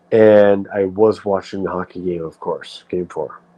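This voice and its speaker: A dark, mellow tone with a New England accent. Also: man. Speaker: live streamer. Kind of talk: casual livestream chat. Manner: rambling with fillers and self-corrections.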